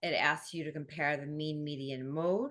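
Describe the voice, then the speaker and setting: A woman at a very deep, low pitch against a quiet background. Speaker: math tutor. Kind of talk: tutorial. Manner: casual, filler-heavy.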